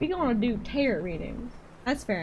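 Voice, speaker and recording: Lively in intonation, a woman with a Southern US accent speaks over noticeable background noise. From Georgia, US South. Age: 20s. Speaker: streamer. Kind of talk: casual live stream chat. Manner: animated.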